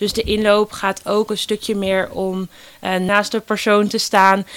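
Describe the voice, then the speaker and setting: A woman talks at a fairly slow pace, her medium pitch held in a monotone, flat line. The recording is very clean, with a silent background. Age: 20s. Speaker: volunteer youth ambassador for a job-search foundation. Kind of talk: interview. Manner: hesitant with many fillers.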